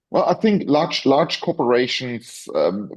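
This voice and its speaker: Speaking with a German accent, a man keeps a moderate pace. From Germany. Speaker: professor. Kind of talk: interview. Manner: halting, many repetitions.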